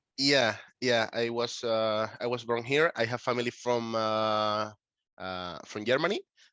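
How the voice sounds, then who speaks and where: Here a man talks in a Spanish accent. His pace is fairly slow and his intonation fairly even. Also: medium pitch for a man. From Canary Islands, Tenerife (Puerto de la Cruz). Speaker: concept photographer, artist. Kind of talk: interview. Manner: halting, many fillers.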